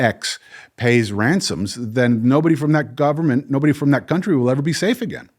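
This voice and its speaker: With lively intonation, a man talks at a moderate pace. The recording is very clean and the background silent. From northern New Jersey, US. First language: Spanish. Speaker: psychologist and hostage negotiator. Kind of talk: interview conversation. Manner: halting, many repetitions and fillers.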